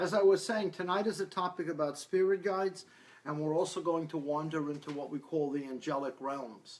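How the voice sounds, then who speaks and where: A man with a fairly high pitch speaks at a fairly quick pace in a normal speaking voice. His pitch varies in an ordinary way. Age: 60s. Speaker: psychic medium. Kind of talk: talk to a live audience. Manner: casual, with many fillers.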